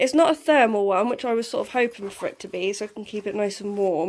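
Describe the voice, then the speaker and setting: A woman with an English accent and ordinary pitch variation. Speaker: vlogger. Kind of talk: casual vlog talk. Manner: heavy breathing.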